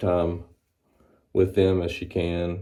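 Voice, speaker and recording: In a Southern US accent, a man with a very deep, low pitch and a dark, mellow tone speaks at a fairly slow pace. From US South, Mississippi (Florence). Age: 30s. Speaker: barber and vlogger. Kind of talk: casual vlog monologue. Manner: rambling with many fillers.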